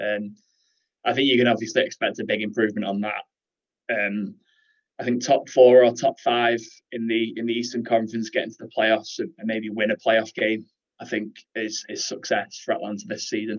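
A man with a British accent speaks fairly quickly at a medium pitch, his intonation fairly even. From Great Britain. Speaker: football writer. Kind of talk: interview.

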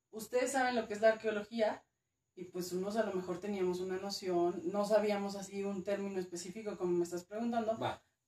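In a normal speaking voice, a woman of medium pitch talks at a fairly quick pace with fairly even intonation. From northern Mexico, Durango. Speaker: archaeologist. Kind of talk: casual interview.

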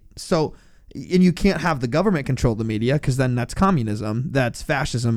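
In a very clean recording over a silent background, a man with an unremarkable speaking voice talks at a medium pitch, at a fairly quick pace and with lively intonation. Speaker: returning co-host. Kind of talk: casual banter podcast chat. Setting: studio.

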